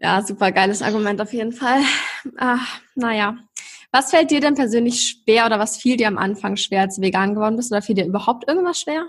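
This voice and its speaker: Somewhat breathy and fairly high in pitch, a woman talks at a fairly quick pace with ordinary pitch variation. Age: 20s. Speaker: podcast host. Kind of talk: casual chat. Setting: video call.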